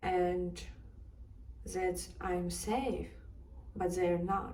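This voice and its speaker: Audible room echo along with noticeable background noise. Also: woman. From Ukraine, Kharkiv. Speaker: interviewee. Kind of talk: personal testimony.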